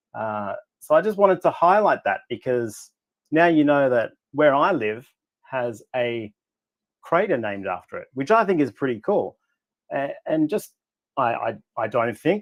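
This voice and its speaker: This male speaker has an Australian accent. His voice rises and falls across a very wide range. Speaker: astrophotographer. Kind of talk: casual presentation on a livestream.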